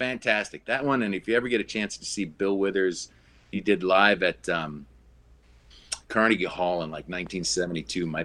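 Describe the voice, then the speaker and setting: A man's fairly low voice with an Upper Midwest accent, bright and sharp in tone, fairly quick, with ordinary pitch variation. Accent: Upper Midwest American. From Minneapolis, Minnesota. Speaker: brewery co-founder. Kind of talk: casual interview.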